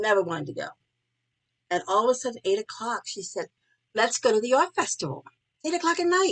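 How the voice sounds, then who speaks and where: A woman speaks at a very fast pace with a fairly high pitch, very wide pitch swings and long, frequent pauses. The sound is dry and close, with no echo. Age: 70s. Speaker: interviewee. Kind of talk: interview.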